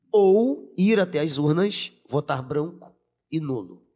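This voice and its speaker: In a very clean recording with a silent background, a man speaks in a fairly high voice with lively intonation. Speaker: teacher and city council candidate. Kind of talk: podcast interview. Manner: animated.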